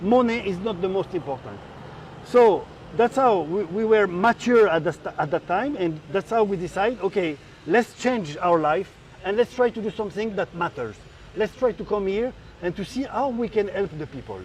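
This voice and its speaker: A man with a French accent, high in pitch with ordinary pitch variation, at a moderate pace. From France. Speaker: rice business owner. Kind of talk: interview.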